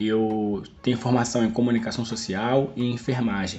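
A man's normal speaking voice at a medium pitch and a moderate pace. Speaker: nurse, health worker and podcast host. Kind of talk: casual chat interview.

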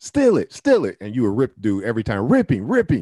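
A medium-pitched man with an American accent and a dark, mellow tone, dry and close with no echo, against a quiet background. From Toledo, Ohio. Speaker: podcast host. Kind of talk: casual chat.

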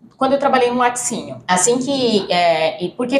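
Noticeable background noise behind a female speaker's voice. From Brazil, Piauí (Teresina). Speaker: veterinarian and food quality consultant. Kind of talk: casual interview chat.

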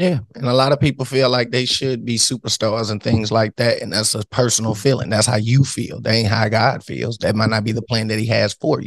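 With vocal fry and a medium pitch, a man talks fairly quickly in fairly even intonation, with hardly any pauses. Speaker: podcast co-host.

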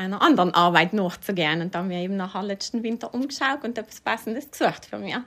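The recording is very clean, with a silent background, as a woman talks at a medium pitch and a fairly quick pace. Her tone is bright and sharp, and her intonation is lively. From South Tyrol (Überetsch). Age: 40s. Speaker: administrative staff member. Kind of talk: interview.

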